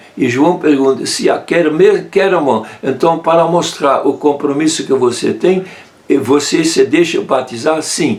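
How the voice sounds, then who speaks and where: A man speaks at a fairly slow pace with a fairly high pitch and ordinary pitch variation. His loudness stays very even over noticeable background noise. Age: 80s+. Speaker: friar, Bible scholar. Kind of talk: interview answer, Bible teaching. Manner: calm, gentle.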